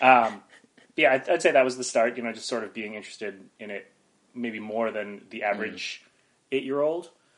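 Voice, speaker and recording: An unremarkable speaking voice from a man with an American accent, medium pitch, ordinary pitch variation, a fairly quick pace, and big swings in loudness. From northeastern Pennsylvania (Wilkes-Barre area). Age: 30s. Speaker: improv comedian and teacher. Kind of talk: interview conversation.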